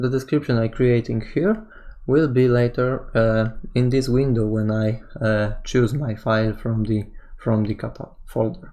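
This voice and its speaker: The speaker has a non-native accent and keeps a moderate pace. The background is quiet. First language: not English. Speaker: programming tutorial instructor. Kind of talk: tutorial. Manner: halting, many fillers.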